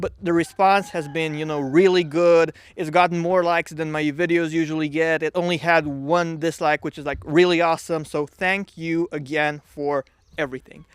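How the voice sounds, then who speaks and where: A man with a non-native accent and a fairly high pitch speaks at a fairly quick pace, recorded dry and close with no echo on a very clean track with a silent background. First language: not English. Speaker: economics YouTuber. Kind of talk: casual explainer video. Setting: vacationing at in-laws' home. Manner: hesitant, many fillers.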